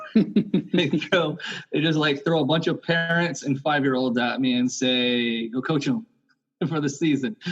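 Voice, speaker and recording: Music plays in the background as a man with a fairly high voice speaks at a fairly slow pace, his loudness very even and his pitch varying in an ordinary way. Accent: American. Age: 40s. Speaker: youth soccer coach. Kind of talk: podcast interview. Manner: hesitant, many fillers.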